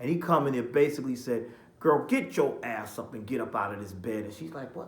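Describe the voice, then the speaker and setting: The pitch swings very widely, and there is audible room echo. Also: man. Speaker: TV show reviewer. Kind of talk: casual review monologue.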